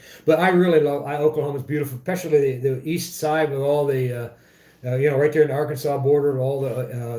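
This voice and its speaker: At a very fast pace, a man speaks in a somewhat breathy, dark, mellow voice that is fairly high for a man, with fairly even intonation. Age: 50s. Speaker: motorcycle vlogger. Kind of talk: casual livestream chat. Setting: home livestream. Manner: halting, many fillers.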